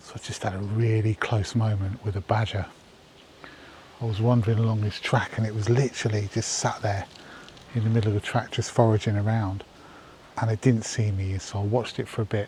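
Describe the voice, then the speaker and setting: Whispering with an English accent, the speaker moves at a fairly quick pace broken by long, frequent pauses. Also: man. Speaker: wildlife photographer vlogger. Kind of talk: casual vlog narration. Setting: outdoors.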